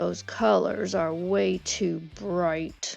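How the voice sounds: A woman's put-on character voice, fairly low-pitched with a slightly mellow tone, vocal fry, fairly even intonation and a very slow pace, faint music in the background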